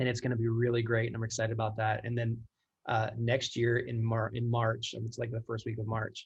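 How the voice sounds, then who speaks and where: A man speaks at a fairly quick pace in a medium-pitched, somewhat breathy voice. His intonation stays monotone and flat. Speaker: church creative director. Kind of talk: casual chat. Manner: fast.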